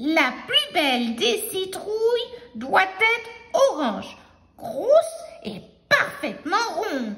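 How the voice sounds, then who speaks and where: In a put-on character voice, the speaker goes very slowly at an extremely high pitch with very wide pitch swings. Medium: read story. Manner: excited, flustered.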